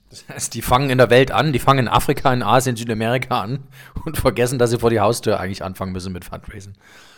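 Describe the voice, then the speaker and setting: A man talks at a very fast pace, medium in pitch with ordinary pitch variation. His loudness swings widely. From eastern Germany. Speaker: podcast host. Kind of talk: casual interview.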